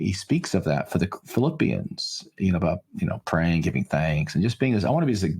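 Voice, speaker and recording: A man with a very deep, low pitch and very wide pitch swings, somewhat breathy, at a fairly quick pace with hardly any pauses and very even loudness. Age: 60s. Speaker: pastor and author. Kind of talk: interview conversation. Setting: podcast interview.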